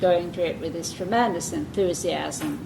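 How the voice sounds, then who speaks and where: Speaking in a Received Pronunciation accent, a woman with a fairly low voice keeps a moderate pace and ordinary pitch variation, with audible room echo around her. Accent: southern English, Received Pronunciation. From southern England. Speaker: early-years reading educator. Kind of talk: lecture.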